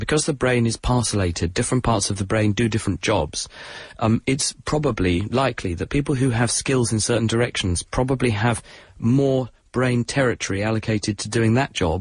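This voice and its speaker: A man with a southern English accent speaks at a fairly quick pace. His medium-pitched voice is somewhat breathy, with ordinary pitch variation. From southern England. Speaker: science broadcaster. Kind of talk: radio science Q&A.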